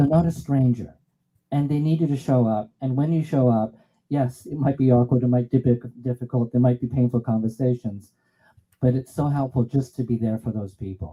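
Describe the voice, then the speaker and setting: A man's somewhat breathy voice at medium pitch, dark and mellow in tone, with fairly even intonation and a fairly quick pace. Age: 60s. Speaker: musician performer. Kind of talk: song introduction.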